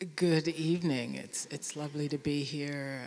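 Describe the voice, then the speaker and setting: Delivered at a moderate pace, a breathy put-on character voice sits at low-to-middle pitch over clear background noise. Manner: soft, sultry.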